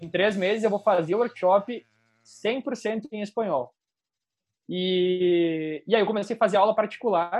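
A man with a southern Brazilian accent speaks fairly slowly at a high pitch with ordinary pitch variation. The background is quiet. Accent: gaúcho Brazilian Portuguese. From southern Brazil, Rio Grande do Sul (Serra Gaúcha). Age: 20s. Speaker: wedding and event photographer. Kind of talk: interview.

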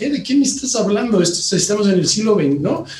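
Amid noticeable background noise and audible room echo, a man with a high pitch speaks at a fairly quick pace in an animated tone. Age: 50s. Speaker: company CEO and co-founder. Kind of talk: interview.

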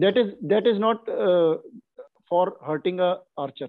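This man's high voice carries lively intonation. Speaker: archer and lawyer. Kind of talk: casual chat.

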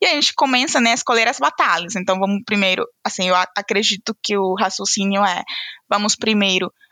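In a very clean, dry and close recording with no echo and a silent background, a bright, sharp voice with a non-native accent moves at a moderate pace with ordinary pitch variation. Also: woman. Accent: noticeable foreign accent in Portuguese. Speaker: HR analyst. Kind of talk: casual interview chat.

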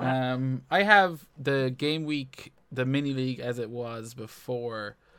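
A normal speaking voice carries ordinary pitch variation here. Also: man. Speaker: FPL podcast host. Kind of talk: casual chat about fantasy football.

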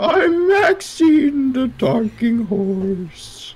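Someone performs a put-on character voice at a fairly high pitch. The pitch swings very widely throughout. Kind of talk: silly animal voice. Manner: playful.

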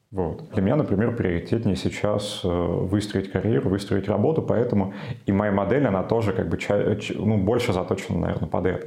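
A man speaks at a moderate pace in a fairly low pitch, his loudness very even, with audible room echo and noticeable background noise. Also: ordinary pitch variation. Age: 20s. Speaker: sociologist. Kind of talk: interview.

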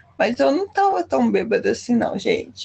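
A woman talks at a fairly quick pace. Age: 20s. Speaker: podcast co-host. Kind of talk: casual chat.

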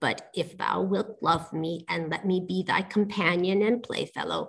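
A woman's put-on character voice at medium pitch. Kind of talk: storybook reading. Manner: old-fashioned formal speech with thee and thou.

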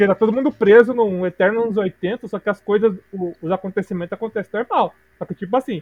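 This man's voice is high-pitched. He keeps a moderate pace. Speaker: podcast co-host. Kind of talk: casual chat. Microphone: bad microphone.

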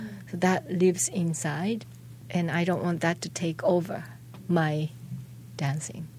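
Speaking with a Japanese accent, a woman uses lively intonation and a fairly low pitch, leaving long, frequent pauses amid noticeable background noise. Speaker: dancer and choreographer. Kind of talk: interview. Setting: studio. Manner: halting.

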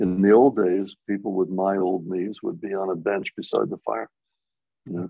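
A man at a very deep, low pitch, in a monotone, flat intonation at a moderate pace. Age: 80s. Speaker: inventor. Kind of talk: casual interview.

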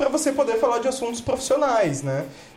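Speech at a very fast pace comes through over noticeable background noise. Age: 30s. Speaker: entrepreneur, startup founder. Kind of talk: casual chat.

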